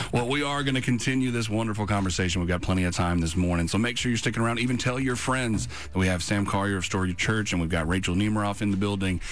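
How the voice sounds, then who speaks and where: The speech comes at a very fast pace with hardly any pauses and very even loudness. Pitch variation is ordinary, and there is noticeable background noise. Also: man, fairly low pitch for a man. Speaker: radio host. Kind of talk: radio interview, casual chat. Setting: radio studio.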